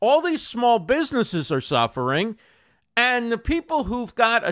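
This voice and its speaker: A man speaks at a moderate pace in a high, bright, sharp voice with very wide pitch swings. The recording is very clean and silent behind him, dry and close with no echo. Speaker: live streaming show host. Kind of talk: live stream interview show. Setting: live stream studio with microphone and audio interface. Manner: radio-style delivery.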